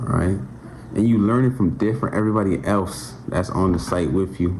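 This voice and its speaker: Through noticeable background noise, a man with a very deep, low pitch talks at a fairly quick pace. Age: 20s. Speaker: electrical apprentice, vlogger. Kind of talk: casual talk to camera. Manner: halting.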